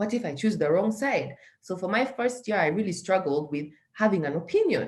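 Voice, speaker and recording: A woman speaks somewhat breathily with lively intonation. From Uganda. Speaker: social entrepreneur. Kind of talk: interview.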